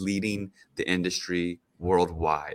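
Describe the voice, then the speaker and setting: A man's very deep, low voice with a bright, sharp tone and an American accent, flat and monotone at a fairly slow pace, dry and close with no echo in a very clean recording with a silent background. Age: 40s. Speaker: activist. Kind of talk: interview.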